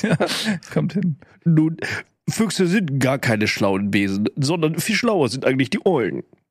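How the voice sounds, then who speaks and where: Putting on a nasal character voice, a man speaks fairly high at a moderate pace, with very wide pitch swings and long, frequent pauses. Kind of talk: comic voice imitation. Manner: arrogant, condescending.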